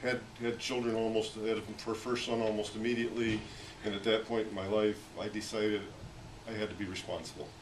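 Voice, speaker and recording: Amid noticeable background noise and audible room echo, a man with an American accent speaks in a fairly low voice. His intonation is monotone and flat. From Pennsylvania, US. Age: 60s. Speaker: war veteran. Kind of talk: casual chat. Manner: halting.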